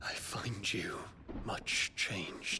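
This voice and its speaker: Whispering in a put-on character voice, a man speaks over clear background noise. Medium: video game. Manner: formal, earnest.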